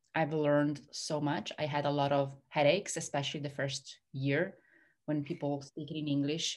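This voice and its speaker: A woman with an Italian accent talks at a moderate pace in a very deep, low pitch. The background is quiet. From Italy. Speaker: hypnotherapist and success coach. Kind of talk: interview conversation.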